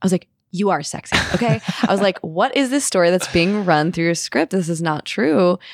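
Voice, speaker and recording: Her loudness very even, a woman talks at a fairly quick pace with lively intonation in a dry, close sound with no echo. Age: 30s. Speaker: non-binary creative, photography muse. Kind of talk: casual chat. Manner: animated.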